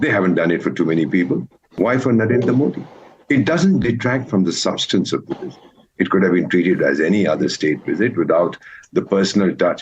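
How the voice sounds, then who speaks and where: This man talks at a fairly quick pace, with vocal fry in his voice. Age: 70s. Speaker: former diplomat. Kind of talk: TV news debate. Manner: formal.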